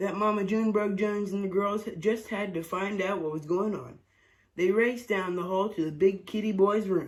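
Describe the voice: A plain read-aloud delivery, intonation fairly level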